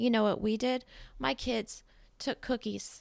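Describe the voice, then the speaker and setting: A woman speaks with vocal fry on a very clean recording with a silent background. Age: 40s. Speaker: podcaster. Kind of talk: personal monologue. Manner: loud; halting.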